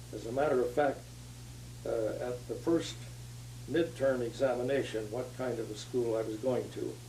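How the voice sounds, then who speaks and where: With an American accent, a man speaks at a moderate pace with long, frequent pauses, and audible room echo surrounds him. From US West, southern California. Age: 90s. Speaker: retired engineer, past society president. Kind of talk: oral history interview. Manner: halting, many fillers.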